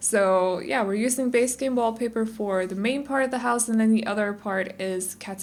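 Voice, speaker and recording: In a Danish accent, the speaker talks at a moderate pace with ordinary pitch variation and audible room echo. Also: woman. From Denmark. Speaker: gaming YouTuber. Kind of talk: casual gameplay voiceover. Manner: chatty, rambling with fillers.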